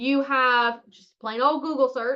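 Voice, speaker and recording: A raised, projected voice in a bright, sharp tone at a fairly slow pace. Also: woman. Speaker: marketing coach. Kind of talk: webinar. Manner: animated.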